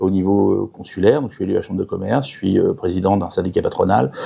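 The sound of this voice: Fast and dark, mellow in tone, a man speaks with vocal fry, a slightly husky edge and ordinary pitch variation.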